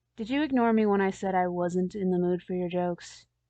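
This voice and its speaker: A woman's put-on character voice, raspy and medium in pitch, delivered at a fairly quick pace. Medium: read story. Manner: grumbling, irritable.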